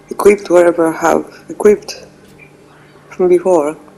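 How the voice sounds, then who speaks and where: Music can be heard behind the speaker. A woman talks at a fairly slow pace. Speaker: gaming streamer. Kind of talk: let's play commentary. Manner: casual, hesitant with fillers.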